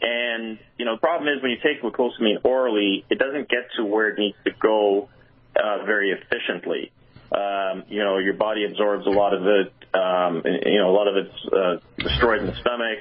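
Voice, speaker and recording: An ordinary speaking voice from a man, fairly low in pitch, at a moderate pace with ordinary pitch variation. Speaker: product spokesperson. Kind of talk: product explanation.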